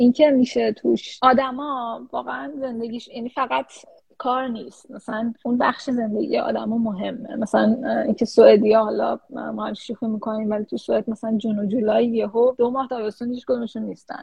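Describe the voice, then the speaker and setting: Speaking in a plain, everyday voice, a woman keeps her intonation fairly even at a fairly high pitch. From Iran. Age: 30s. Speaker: research scientist. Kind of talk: interview. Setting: live stream.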